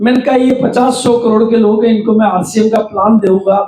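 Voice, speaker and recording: A man's extremely high-pitched voice carries fairly even intonation. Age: 70s. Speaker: network marketing trainer. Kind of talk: workshop talk.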